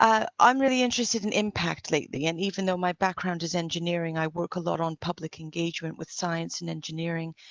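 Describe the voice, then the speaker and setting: With fairly even intonation, a woman talks at a moderate pace and a fairly low pitch. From Canada and England. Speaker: engineer and women-in-engineering volunteer speaker. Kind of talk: conference talk.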